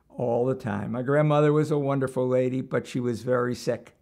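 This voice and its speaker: On a very clean recording with a silent background, a man with a New York accent speaks at a moderate pace. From Brooklyn, New York. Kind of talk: interview answer.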